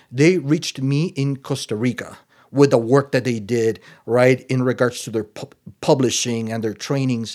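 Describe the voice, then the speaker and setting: A man's medium-pitched voice with a Spanish accent, at a moderate pace and with fairly even intonation, on a very clean recording with a silent background. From Nicaragua. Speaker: addiction treatment executive. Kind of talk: interview. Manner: halting, many fillers.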